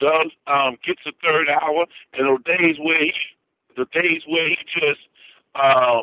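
An ordinary speaking voice from a man with an American accent, fairly high in pitch, fairly slow and fairly even in intonation. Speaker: sports commentator, former Marine. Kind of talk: casual sports talk interview by phone. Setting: phone call.

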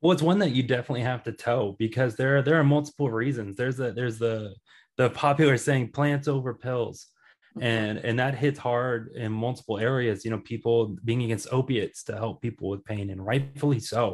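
A man with an American accent talks at a fairly quick pace in an unremarkable speaking voice, medium in pitch with ordinary pitch variation. The background is quiet. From Kansas City, US Midwest. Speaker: cannabis podcaster guest. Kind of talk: casual interview.

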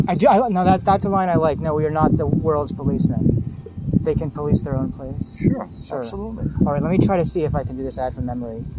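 Noticeable background noise sits behind a man with an American accent who talks very fast, fairly high in pitch, with lively intonation. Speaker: podcast host. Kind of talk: casual interview chat. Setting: outdoors at a park.

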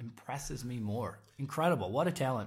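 A somewhat breathy man with an American accent at a moderate pace. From Chicago suburbs. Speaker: podcast co-host. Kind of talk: casual interview chat.

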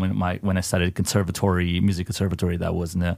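This man talks very fast in a very deep, low register. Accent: Italian. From Italy. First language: Italian. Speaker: metal band vocalist. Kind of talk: casual interview.

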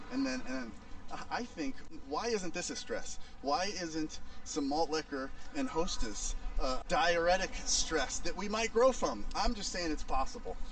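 Amid noticeable background noise, a man with a high pitch talks at a fairly slow pace, his voice making very wide pitch swings. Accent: American. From US Midwest, St. Louis. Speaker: breathwork instructor. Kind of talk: casual chat. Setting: outdoors.

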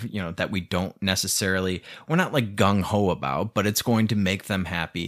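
On a very clean recording with a silent background, a man talks in a fairly low pitch with an animated tone. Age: 30s. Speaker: podcast host. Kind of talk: solo rant monologue. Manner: animated, casual with frequent laughs.

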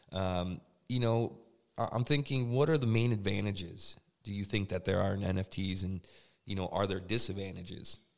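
On a very clean recording with a silent background, a man with an ordinary speaking voice, fairly low pitch and ordinary pitch variation talks at a moderate pace. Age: 30s. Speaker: podcast host. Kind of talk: interview.

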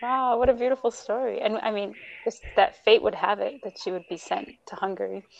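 A woman with an American accent talks at a fairly quick pace in a fairly high pitch, with vocal fry, lively intonation and big swings in loudness. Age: 30s. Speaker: podcast host, language teacher. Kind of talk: interview.

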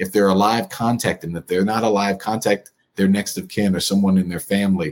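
He is a man with a fairly low pitch. His pace is fairly quick. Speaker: attorney, author and local politician. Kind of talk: interview. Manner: animated.

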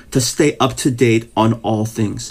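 Background noise is clearly noticeable. A man talks at a fairly slow pace. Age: 50s. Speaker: pastor. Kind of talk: casual interview.

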